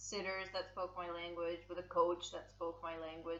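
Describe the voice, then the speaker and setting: At a moderate pace, a woman speaks with a medium pitch while noticeable background noise sits behind her. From US West Coast (San Francisco), born in Russia. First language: Russian. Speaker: circus contortionist. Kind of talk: casual interview chat. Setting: podcast.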